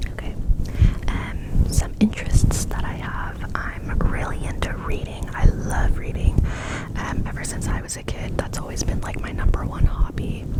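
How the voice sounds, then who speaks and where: A woman whispers in an American accent, with big swings in loudness. Noticeable background noise can be heard. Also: moderate pace. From California, USA. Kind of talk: ASMR whisper ramble. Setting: close microphone, studio-like. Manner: whispered, soft-spoken.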